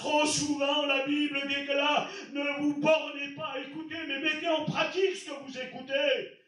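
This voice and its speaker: Speaking at a fairly slow pace, a man with an extremely high, bright and sharp voice keeps a fairly even intonation while his loudness swings widely amid audible room echo. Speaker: pastor. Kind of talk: sermon. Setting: church.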